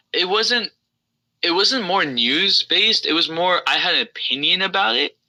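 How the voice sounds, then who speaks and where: In an American accent, a man speaks with very wide pitch swings and a bright, sharp tone. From New Jersey, US. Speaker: NBA YouTuber. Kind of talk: podcast interview. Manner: casual, filler-heavy.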